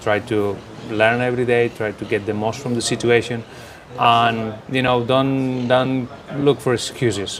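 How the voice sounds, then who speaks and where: There is noticeable background noise. A man talks at a moderate pace and medium pitch with fairly even intonation. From Barcelona, Spain. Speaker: football coach. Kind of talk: interview.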